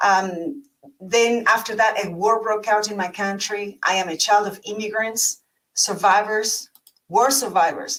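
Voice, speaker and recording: This is a woman speaking with an Argentine accent. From Argentina. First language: Spanish. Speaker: leadership coach, panelist. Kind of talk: personal story on panel.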